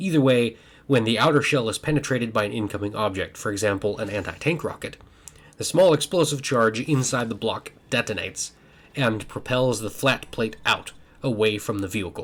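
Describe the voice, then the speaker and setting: The man talks fairly quickly in a normal speaking voice, his pitch varying in an ordinary way. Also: medium pitch for a man. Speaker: science fiction author and video creator. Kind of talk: educational talk while playing a video game.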